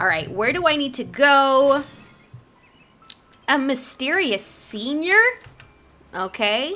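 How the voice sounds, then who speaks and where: A woman speaks in a raised, projected voice, high in pitch, with an upbeat, playful tone and very wide pitch swings. Her pace is very slow with long, frequent pauses, and music plays in the background. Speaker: voice actor. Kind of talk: casual talk to camera while playing a game.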